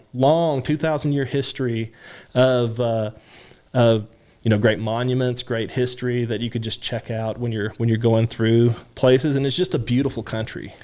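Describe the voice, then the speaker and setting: In a Kentucky accent, a man with a medium pitch and a dark, mellow tone speaks with fairly even intonation on a very clean recording with a silent background. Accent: Kentucky drawl. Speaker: university French department chair. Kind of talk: interview answer.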